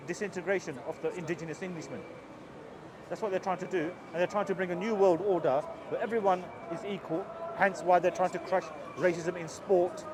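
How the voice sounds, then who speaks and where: Speaking at a fairly quick pace with long, frequent pauses, a man with a high pitch keeps a fairly even intonation over noticeable background noise. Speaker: street preacher. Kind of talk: street debate. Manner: fast.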